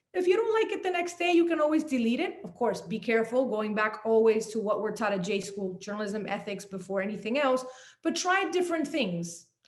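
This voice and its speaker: A woman speaks fairly quickly with hardly any pauses, her fairly high pitch swinging very widely. Room echo is audible. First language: Spanish. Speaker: journalist and author. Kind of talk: panel talk.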